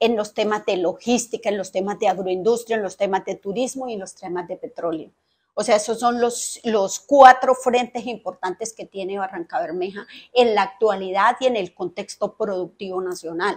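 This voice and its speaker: A woman's voice at a moderate pace, with big swings in loudness and ordinary pitch variation. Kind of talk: interview answer. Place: office. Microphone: lapel.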